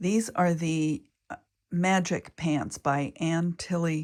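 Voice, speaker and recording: At a very slow pace, a woman speaks in a fairly low pitch with fairly even intonation. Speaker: sewing tutor. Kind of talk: sewing tutorial talk.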